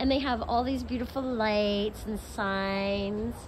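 A woman delivers her words fairly slowly while noticeable background noise lingers. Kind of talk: casual vlog chat. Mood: cheerful, enthusiastic. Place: cafe. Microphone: phone near.

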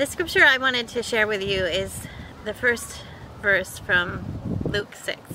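With noticeable background noise but a dry sound with no echo, a woman speaks fairly slowly in a fairly high voice with a gentle, soothing tone. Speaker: pastor. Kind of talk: guided prayer meditation with imaginative scripture visualization. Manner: gentle, slow, soothing invitational pacing; repetitive, litany-like cadence with pauses for reflection. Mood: calm, gentle, meditative. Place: garden. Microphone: camera far.

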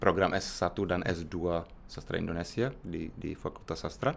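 A man with a Czech accent and a very deep, low pitch at a fairly slow pace, over light background noise. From Czech Republic. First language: Czech (speaking Indonesian). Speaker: researcher and university lecturer; university lecturer. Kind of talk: interview. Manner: halting. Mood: calm, friendly. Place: office. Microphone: studio mic.

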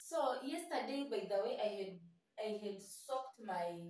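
Audible room echo surrounds the recording. A woman speaks at a fairly slow pace. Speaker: home cooking vlogger. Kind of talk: casual vlog chat. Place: kitchen. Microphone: camera far.

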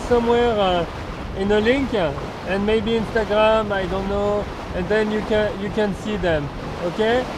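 With noticeable background noise but a dry, echo-free sound, a man speaks at a moderate pace in a high voice with fairly even intonation. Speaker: vlogger. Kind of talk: casual vlog chat. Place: boat. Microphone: phone near.

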